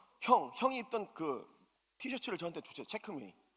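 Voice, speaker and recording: Speaking at a fairly quick pace, a man with a bright, sharp tone makes very wide pitch swings. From South Korea, Busan. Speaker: pastor. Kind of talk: sermon. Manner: animated.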